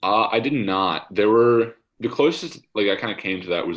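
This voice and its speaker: This is a man speaking with an American accent. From USA. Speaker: college basketball player. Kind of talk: casual interview. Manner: halting, many fillers.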